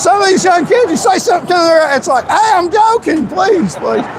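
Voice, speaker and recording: A man with a Tennessee accent talks at a fairly quick pace, his pitch swinging very widely. Crowd noise fills the background. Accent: Southern US (Tennessee). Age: 60s. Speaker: political YouTuber and candidate. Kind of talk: live street interview. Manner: halting, repetitive; joking, casual.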